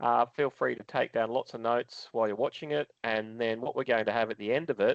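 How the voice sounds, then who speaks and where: A man with an Australian accent talks at a very fast pace, at a medium pitch with ordinary pitch variation. The sound is dry and close with no echo, and the background is quiet. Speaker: webinar host. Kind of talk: interview.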